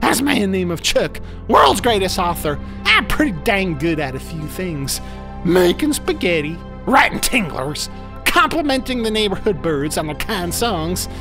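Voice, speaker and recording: Over loud music in the background, a man performs a cartoonish character voice at a moderate pace. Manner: earnest, plainspoken, quirky, sincere.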